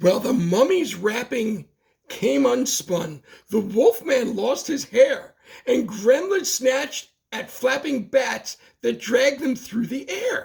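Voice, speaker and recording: At a fairly slow pace, a man speaks at an extremely high pitch. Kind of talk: bedtime story. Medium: read story. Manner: rhythmic, playful, sing-song.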